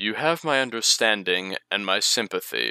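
A man performs a put-on character voice, keeping a moderate pace. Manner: slow, measured.

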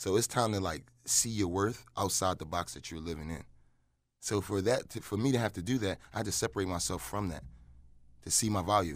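A man with a normal speaking voice, fairly low in pitch, at a fairly quick pace with ordinary pitch variation, on a very clean recording with a silent background. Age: 20s. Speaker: entrepreneur and adult entertainer. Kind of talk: casual interview.

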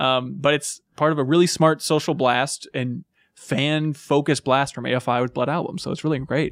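A man speaks in a plain, everyday voice, fairly high in pitch, with fairly even intonation and hardly any pauses. The recording is very clean, with a silent background. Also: moderate pace. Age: 20s. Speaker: podcast host, music discussion. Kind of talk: casual chat. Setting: studio.

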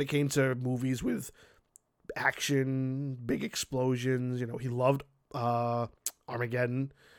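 A man speaks with an American accent. His pitch is medium. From Brooklyn, New York. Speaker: podcaster. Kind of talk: personal monologue. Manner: halting.

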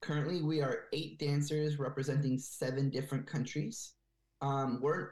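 A man with an American accent speaks at a moderate pace in a fairly high, somewhat breathy voice with fairly even intonation, on a very clean recording with a silent background. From US East Coast, Bethesda, Maryland. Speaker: dancer and choreographer. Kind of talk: interview. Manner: hesitant with many fillers.

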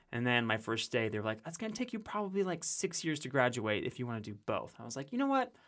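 A man talks at a very fast pace. His fairly high pitch moves in very wide swings. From Carolinas, US South (raised partly in Utah). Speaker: musical theater performer. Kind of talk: casual chat.

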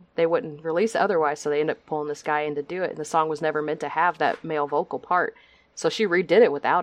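A woman with a Texan accent speaks at a very fast pace in a very deep, low pitch against a quiet background. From Texas. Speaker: nurse and podcast guest. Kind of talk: casual interview chat.

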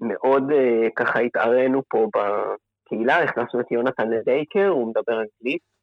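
A man speaks at a fairly slow pace. His loudness stays very even, with ordinary pitch variation. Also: medium pitch for a man. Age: 30s. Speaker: cancer patient. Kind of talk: interview. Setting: call from abroad.

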